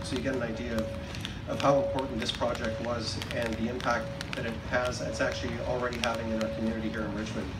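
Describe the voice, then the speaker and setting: Music plays in the background. A man talks at a very fast pace. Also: ordinary pitch variation. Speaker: speaker. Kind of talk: public speech. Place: stage.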